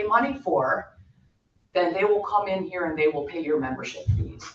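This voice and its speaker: Here is an unremarkable speaking voice with lively intonation. The pace is moderate. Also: woman. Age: 60s. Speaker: massage therapist and yoga instructor. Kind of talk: public comment at board meeting. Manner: unscripted, spontaneous.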